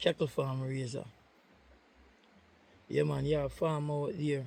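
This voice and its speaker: Speaking at a fairly slow pace, a man talks in a Jamaican accent. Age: old. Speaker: cattle farmer. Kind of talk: casual talk to camera.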